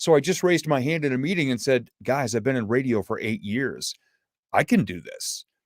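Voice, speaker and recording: At a fairly quick pace, a man speaks at medium pitch with lively intonation. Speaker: motivational speaker. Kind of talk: interview. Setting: live stream. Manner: casual, conversational.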